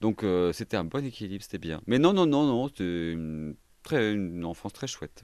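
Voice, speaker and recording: Against a quiet background, a man with an ordinary speaking voice and fairly low pitch speaks with lively intonation. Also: moderate pace. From Paris region and southern France. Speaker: pianist and cabaret drag performer. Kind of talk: interview conversation.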